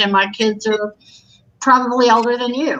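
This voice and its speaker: At a moderate pace, a woman talks in a bright, sharp tone. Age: 60s. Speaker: livestream co-host. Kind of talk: casual chat.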